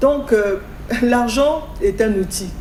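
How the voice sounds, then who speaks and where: A woman speaks with a fairly high pitch and ordinary pitch variation. Audible room echo and noticeable background noise surround her voice. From Congo. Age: 60s. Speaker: guest speaking on African culture and spirituality. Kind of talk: talk show interview.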